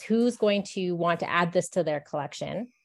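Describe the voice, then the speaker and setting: Medium-pitched speech from a woman with a western Canadian accent, fairly slow, on a very clean recording with a silent background. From Canadian Rocky Mountains. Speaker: bookseller. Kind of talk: interview.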